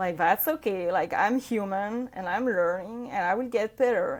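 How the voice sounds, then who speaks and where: On a very clean recording against a silent background, a woman talks in a non-native accent. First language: not English. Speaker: yoga practitioner, mother sharing healing journey. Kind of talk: podcast interview, personal testimony. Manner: hesitant, many fillers and self-corrections.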